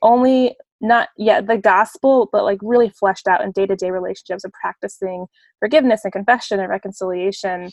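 A woman with an American accent talks at a fairly quick pace in an ordinary speaking voice, medium in pitch. Her pitch varies in an ordinary way, and the sound is dry and close with no echo. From Phoenix, Arizona, US. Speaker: nonprofit director and church leader. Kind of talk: casual interview.

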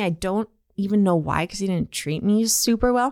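Lively in intonation, a woman with a plain, everyday voice speaks at a fairly high pitch in a dry, close, very clean recording with a silent background and no echo. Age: 30s. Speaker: podcast host. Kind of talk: casual chat.

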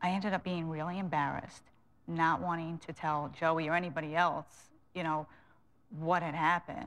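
In a Long Island accent, a woman with a fairly low pitch talks at a fairly quick pace in a monotone, flat intonation, leaving long, frequent pauses. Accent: Long Island New York. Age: 30s. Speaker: interview guest, former prisoner. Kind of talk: tv interview. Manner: hesitant, many fillers.

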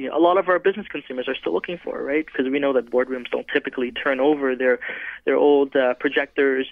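Fairly high for a man, this normal speaking voice shows ordinary pitch variation. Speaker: laptop company representative. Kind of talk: radio interview, product pitch. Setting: phone call.

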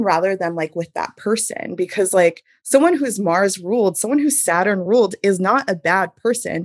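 A woman with an American accent and a normal speaking voice, medium in pitch, with lively intonation. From US Northeast, Hudson Valley, New York. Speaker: astrologer. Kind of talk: casual chat.

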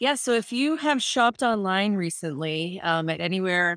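On a very clean recording with a silent background, a woman talks at a medium pitch and moderate pace. The sound is dry and close with no echo, and her pitch varies in an ordinary way. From Massachusetts, US. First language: Spanish. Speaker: fashion tech entrepreneur. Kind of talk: interview.

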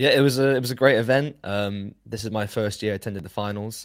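A man's fairly low-pitched, ordinary speaking voice at a fairly quick pace, on a very clean recording with a silent background. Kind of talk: casual chat.

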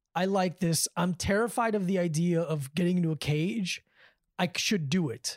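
In a plain, everyday voice with an American accent, a woman speaks at a fairly low pitch and moderate pace with ordinary pitch variation and very even loudness, the sound dry and close with no echo on a very clean recording with a silent background. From Davie, South Florida. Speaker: comedian and martial arts trainer. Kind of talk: casual chat. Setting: host's living room.

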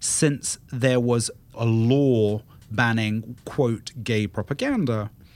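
At a very slow pace, a man with a British accent talks in a medium pitch. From England. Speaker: guest podcast host, travel media editor. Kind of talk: casual panel discussion. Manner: animated.

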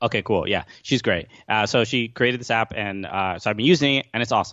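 Fairly quick in pace, a man speaks with an American accent. His pitch is fairly low. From New York, Brooklyn. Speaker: comedian and podcast host. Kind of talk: casual chat. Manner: halting, many fillers and repeats.

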